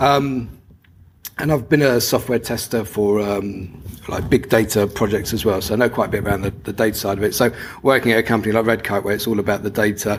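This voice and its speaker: A man with a London accent speaks at a fairly low pitch. His pace is fairly quick, with ordinary pitch variation. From London, England. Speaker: conference speaker, DevOps engineer. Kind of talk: conference talk. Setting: stage with audience. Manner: normally fast.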